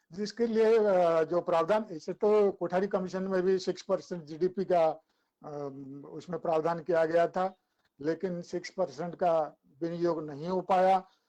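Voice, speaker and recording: A man with a high pitch and a dark, mellow tone keeps his intonation fairly even. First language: Odia (speaking Hindi). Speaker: academic speaker. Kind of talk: webinar talk. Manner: halting, with filler sounds.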